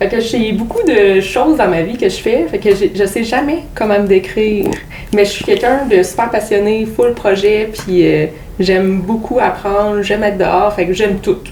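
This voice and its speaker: A woman speaks at a medium pitch and moderate pace with ordinary pitch variation. Noticeable background noise is present. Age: 30s. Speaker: podcast guest, mother and student. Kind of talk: casual interview chat. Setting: in-person podcast studio.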